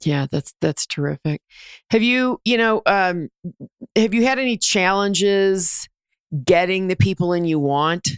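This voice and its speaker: An ordinary speaking voice with an American accent and lively intonation moves at a fairly slow pace. The recording is very clean, with a silent background. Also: woman, medium pitch for a woman. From New Jersey. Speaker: podcast host and leadership coach. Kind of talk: interview.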